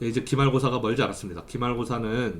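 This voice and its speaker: Audible room echo around a man's voice at a medium pitch. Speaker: university lecturer. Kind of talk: lecture; recorded online class. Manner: fast during lecture.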